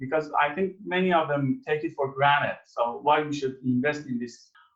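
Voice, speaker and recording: This is a man speaking. He keeps a moderate pace. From Iran. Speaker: agricultural researcher. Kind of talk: interview. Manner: halting.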